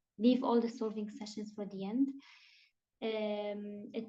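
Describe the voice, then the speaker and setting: In a room with audible echo, a woman speaks at a fairly high pitch. Her voice is somewhat breathy and dark, mellow in tone. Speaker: online exam-prep tutor. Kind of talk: online class lecture. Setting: video call.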